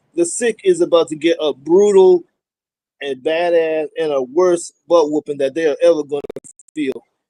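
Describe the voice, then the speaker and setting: A man with a high voice and a dark, mellow tone speaks at a moderate pace with ordinary pitch variation. The sound is dry and close, with no echo. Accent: New York. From New York, Brooklyn. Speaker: promo wrestler. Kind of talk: casual interview. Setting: outdoors, remote call.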